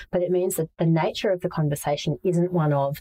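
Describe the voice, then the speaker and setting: With an Australian accent, a woman speaks at a very fast pace in a very deep, low, dark and mellow voice with fairly even intonation, the sound dry and close with no echo. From Asia (Manila) and Brisbane, Australia. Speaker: startup founder and CEO. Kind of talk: interview. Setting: video call.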